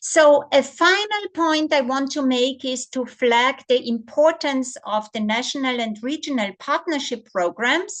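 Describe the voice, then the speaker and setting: Against a quiet background, a woman speaks at a high pitch with very wide pitch swings and a fairly slow pace. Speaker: policy researcher presenting on gender budgeting. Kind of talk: webinar presentation.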